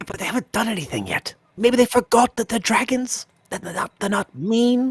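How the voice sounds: A female-sounding voice puts on a character voice at a moderate pace and a fairly high pitch.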